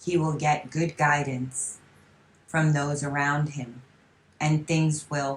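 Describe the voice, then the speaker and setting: With long, frequent pauses, a woman speaks very slowly in a very deep, low, somewhat breathy voice and a monotone, flat intonation. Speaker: voice channeler and hypnotherapist. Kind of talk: psychic channeling session.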